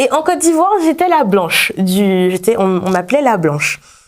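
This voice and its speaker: A woman at medium pitch and moderate pace, with very wide pitch swings. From Martinique. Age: 20s. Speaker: young musician. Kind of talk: TV interview. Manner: halting, many fillers.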